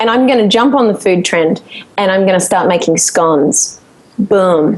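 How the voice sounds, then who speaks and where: An Australian-accented woman at a moderate pace, medium-pitched, with ordinary pitch variation, an upbeat tone and very even loudness. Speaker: singer-songwriter. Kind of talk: podcast interview answer. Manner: laughing, upbeat.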